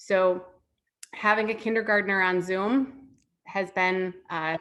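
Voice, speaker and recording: Against a quiet background, a woman speaks in a Wisconsin accent. Her pitch is medium and her tone bright and sharp. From Chicago. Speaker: former teacher and parent speaker. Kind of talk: online parenting talk. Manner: casual, filler-heavy.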